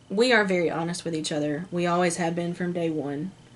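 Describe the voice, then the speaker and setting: Her intonation fairly even, a woman speaks at a fairly low pitch. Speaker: lifestyle vlogger. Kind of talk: casual chat. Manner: loud.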